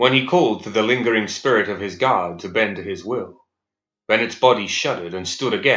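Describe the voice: Quiet surroundings, plain reading aloud, and ordinary pitch variation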